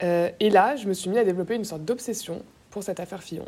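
Her tone is dark and mellow. The woman's pitch varies in an ordinary way. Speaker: young voter giving testimony. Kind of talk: testimony.

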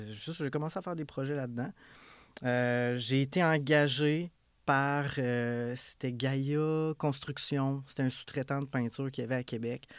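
With a normal speaking voice, a man talks at a fairly slow pace and a fairly high pitch. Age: 30s. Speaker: painting business owner. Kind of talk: casual interview. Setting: studio.

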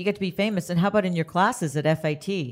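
Speaking very fast, a woman uses a fairly low pitch with ordinary pitch variation. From Canada. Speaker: podcast host. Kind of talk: interview. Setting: studio.

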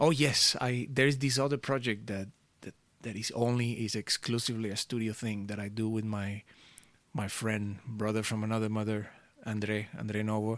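The speaker talks at a moderate pace with a Spanish accent and fairly even intonation. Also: man, fairly low pitch for a man. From Venezuela. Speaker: music producer and DJ. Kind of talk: interview chat.

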